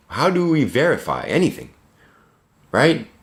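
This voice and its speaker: A man's animated tone carries noticeable vocal fry. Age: 30s. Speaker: vlogger. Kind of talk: casual monologue. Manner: animated, rambling with self-corrections.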